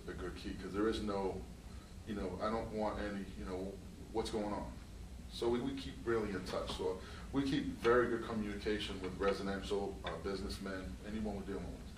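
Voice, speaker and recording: Audible room echo surrounds a speaker with an American accent. The delivery is fairly quick, with lively intonation. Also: man. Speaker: construction company owner. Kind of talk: interview.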